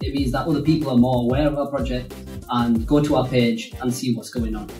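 Clear music plays behind a man with a Yorkshire accent who speaks at medium pitch with ordinary pitch variation, with audible room echo. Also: fairly quick pace. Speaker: animation studio co-founder. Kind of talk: casual talk to camera. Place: home room.

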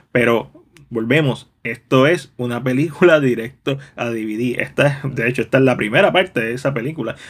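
Speaking at a moderate pace with hardly any pauses, this is a normal speaking voice with ordinary pitch variation. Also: man, medium pitch for a man. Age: 30s. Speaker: film reviewer. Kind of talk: video review.

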